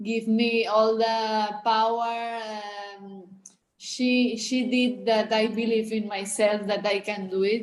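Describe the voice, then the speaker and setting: The speaker talks at a very slow pace with a Spanish accent. Audible room echo surrounds the voice. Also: woman. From Spain. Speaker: athlete. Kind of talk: interview. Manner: halting.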